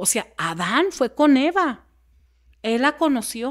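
A woman speaks at a high pitch with very wide pitch swings. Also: quiet background. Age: 40s. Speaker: podcast guest. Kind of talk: interview conversation. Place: home room. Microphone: studio mic.

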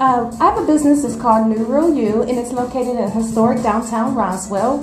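A woman at a fairly quick pace with ordinary pitch variation, clear music in the background. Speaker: guest. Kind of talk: interview answer. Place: hall. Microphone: handheld.

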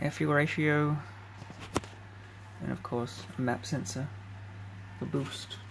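Noticeable background noise sits behind a man speaking at a very slow pace and a medium pitch. His intonation is lively, broken by long, frequent pauses. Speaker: electronics hobbyist. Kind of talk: casual hardware demo to camera. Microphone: phone near.

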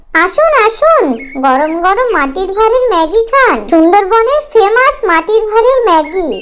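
In a put-on character voice, a woman talks at a moderate pace with an extremely high pitch, big pitch swings and a fairly bright tone.

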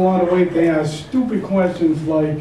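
Room echo is audible as a man speaks at a fairly quick pace. His pitch is high.

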